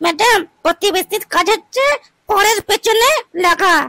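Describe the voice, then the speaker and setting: A woman puts on a cartoonish character voice at an extremely high pitch. She talks at a fairly slow pace with ordinary pitch variation. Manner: curt, commanding.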